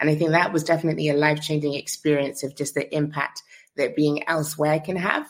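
A woman speaks very fast in a London accent. Her pitch is very deep and low, and her intonation is flat and monotone. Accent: British, London. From London, England. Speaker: founder, relocation platform. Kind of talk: interview conversation.

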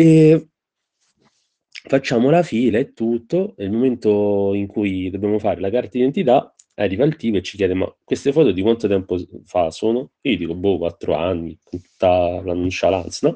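A man with a fairly low pitch speaks at a moderate pace. His tone is dark and mellow, and his intonation lively. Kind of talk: casual anecdote.

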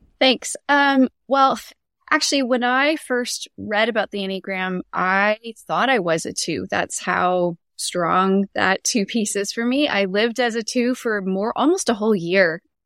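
A woman with a plain, everyday voice speaks in a Canadian accent at a fairly slow pace. Her pitch is fairly high, with ordinary pitch variation. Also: dry, close sound with no echo. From Canada. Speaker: Enneagram coach. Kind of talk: casual interview.

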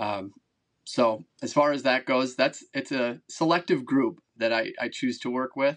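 Against a quiet background, a man of medium pitch speaks with an Upper Midwest accent. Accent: Upper Midwest American. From Wisconsin, Madison area. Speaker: record-breaking angler, former college football player. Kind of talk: casual interview.

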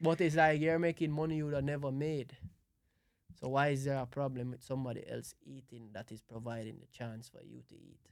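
In a Jamaican accent, the speaker goes at a fairly quick pace with fairly even intonation and big swings in loudness. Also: man, fairly high pitch for a man. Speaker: event planner and music producer. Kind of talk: casual chat.

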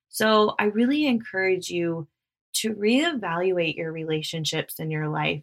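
At a fairly slow pace, a woman with a plain, everyday voice and medium pitch speaks with lively intonation. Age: 30s. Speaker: podcast host and wellness coach. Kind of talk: casual solo monologue.

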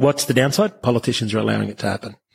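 A man speaks at a very fast clip with an Australian accent. His voice is somewhat breathy and sits at a medium pitch. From Brisbane, Australia. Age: 40s. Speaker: entrepreneur, coffee company founder. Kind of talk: interview, conversational talk.

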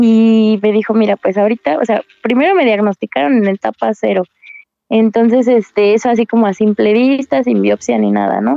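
A woman with an unremarkable speaking voice talks at a moderate pace and fairly high pitch. Her pitch varies in an ordinary way, and her loudness stays very even. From Querétaro, Mexico. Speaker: cancer patient. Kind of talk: testimony.

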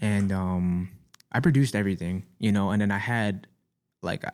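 A normal speaking voice moves at a fairly quick pace on a very clean recording with a silent background. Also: man. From US Northeast, Staten Island, New York. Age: 20s. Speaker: rapper and music producer. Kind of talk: casual chat. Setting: studio.

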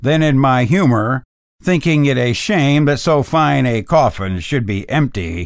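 A natural reading voice moves with lively intonation. Nothing much stirs in the quiet background.

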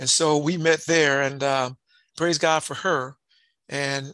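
Fairly high in pitch, with a bright, sharp tone and monotone, flat intonation, a man speaks at a fairly slow pace in a dry, close sound with no echo. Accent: American. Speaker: former football player and community leader. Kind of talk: casual interview conversation.

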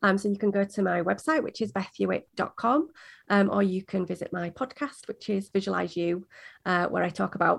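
A woman speaks in a Yorkshire accent at a fairly quick pace. The background is quiet. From Yorkshire, England. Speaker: spiritual performance coach and podcaster. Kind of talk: interview, casual chat.

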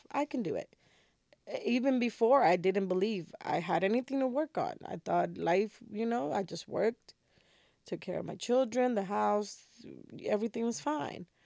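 At a moderate pace, a woman with a Spanish accent speaks at a fairly high pitch in a dark, mellow tone. The recording is very clean with a silent background, and the sound is dry and close with no echo. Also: lively intonation. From Dominican Republic. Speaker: podcast host. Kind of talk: casual conversation, podcast intro.

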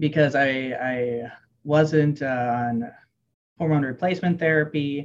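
Spoken at a fairly slow pace with fairly even intonation, this is a plain, everyday voice. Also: man, fairly high pitch for a man. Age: 20s. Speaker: personal development coach and military veteran. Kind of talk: casual interview chat.

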